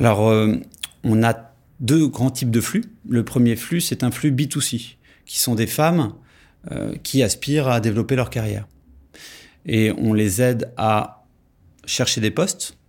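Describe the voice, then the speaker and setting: In a very clean recording with a silent background, a man speaks at a very slow pace with long, frequent pauses and ordinary pitch variation. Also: medium pitch for a man. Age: 40s. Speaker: founder of a management consulting firm. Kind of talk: interview. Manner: halting, with frequent hesitations and repetitions.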